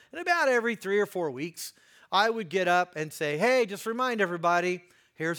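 In a Midwestern American accent, the voice moves at a fairly quick pace with a bright, sharp tone and lively intonation on a very clean recording with a silent background. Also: man. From US Midwest, Indiana. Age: 50s. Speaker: guest preacher. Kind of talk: sermon.

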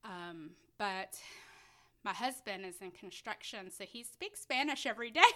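Lively intonation and a bright, sharp tone come at a moderate pace, with big swings in loudness, on a very clean recording with a silent background. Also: woman, fairly high pitch for a woman. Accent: Tennessee. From US South, Middle Tennessee. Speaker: foster parent. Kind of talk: interview.

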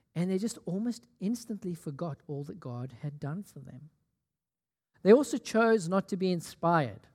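In an animated tone, a man with a high pitch speaks with very wide pitch swings. The sound is dry and close with no echo on a very clean recording with a silent background. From South Africa, Port Elizabeth. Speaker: pastor. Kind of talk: sermon. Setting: church.

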